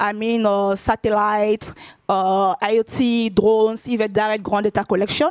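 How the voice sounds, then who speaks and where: Speaking with a non-native accent, a woman has a fairly high-pitched voice. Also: dry, close sound with no echo. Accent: Francophone. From Ivory Coast. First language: French. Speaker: tech company data lead. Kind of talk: conference talk. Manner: halting, many fillers.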